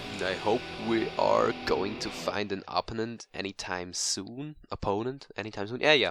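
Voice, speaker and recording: A man with a non-native accent speaks at medium pitch in a bright, sharp tone with ordinary pitch variation, the sound dry and close with no echo in a very clean recording with a silent background. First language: not English. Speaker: gaming commentator. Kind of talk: gameplay commentary.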